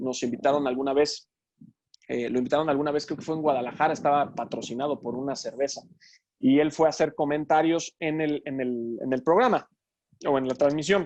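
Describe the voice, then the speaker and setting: A man talks at a fairly quick pace with a fairly high pitch and fairly even intonation. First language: English (speaking Spanish). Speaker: sports commentator. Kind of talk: Q&A talk. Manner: halting, many fillers.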